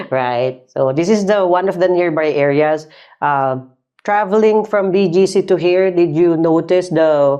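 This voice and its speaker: A woman's dark, mellow voice, fairly low in pitch and fairly slow, with very even loudness over a quiet background. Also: ordinary pitch variation. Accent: Filipino. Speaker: podcast host. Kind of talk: podcast interview.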